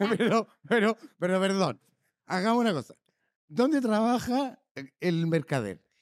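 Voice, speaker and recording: Speaking with a Chilean accent, a man with a high pitch uses lively intonation at a fairly slow pace, leaving long, frequent pauses, in a dry, close sound with no echo. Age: 60s. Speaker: podcast co-host. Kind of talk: casual chat.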